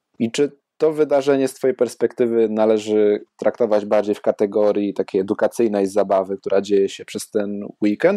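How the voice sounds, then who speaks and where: A man's fairly low, dark, mellow voice with a Polish accent, fairly even intonation and a moderate pace, dry and close with no echo over a quiet background. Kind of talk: casual interview.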